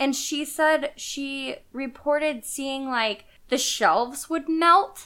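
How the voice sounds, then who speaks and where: A raised, projected voice with ordinary pitch variation at a very slow pace. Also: woman, high pitch for a woman. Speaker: podcast co-host. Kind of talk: casual chat. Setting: home couch recording.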